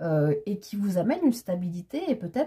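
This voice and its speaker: A woman's somewhat breathy voice, dark and mellow in tone, rises and falls in very wide pitch swings. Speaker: tarot card reader. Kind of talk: tarot reading monologue. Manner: animated, hesitant with fillers.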